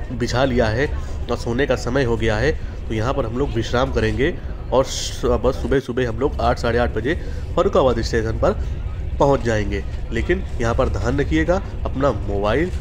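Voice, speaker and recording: Background music plays under a man's voice. He stops often, with long pauses. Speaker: travel vlogger. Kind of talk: casual vlog chat. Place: train. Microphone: phone near.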